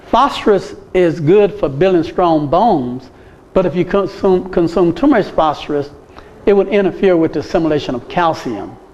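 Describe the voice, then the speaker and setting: A man talks in a high pitch at a moderate pace, his intonation lively, while noticeable background noise runs underneath. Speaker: medical missionary teacher. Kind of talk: lecture.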